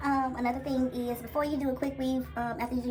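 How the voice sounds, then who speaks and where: Both audible room echo and noticeable background noise are present. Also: woman. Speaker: beauty vlogger. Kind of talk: tutorial.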